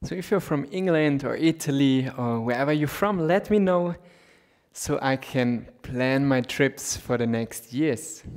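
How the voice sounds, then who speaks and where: Speaking fairly slowly, a man uses a fairly high voice with ordinary pitch variation. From Austria. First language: German. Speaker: yoga teacher. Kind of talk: guided yoga class.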